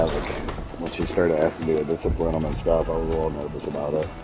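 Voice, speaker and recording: A man talking at a very fast pace amid noticeable background noise and audible room echo. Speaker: livestreamer. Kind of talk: casual chat.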